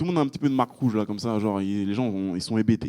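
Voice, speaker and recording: Recorded with a dry, close sound and no echo, a man speaks very fast with ordinary pitch variation. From France, Île-de-France (Pontoise). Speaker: real estate investor and business coach. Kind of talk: casual group discussion. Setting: meeting room with small group. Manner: casual, hesitant with fillers.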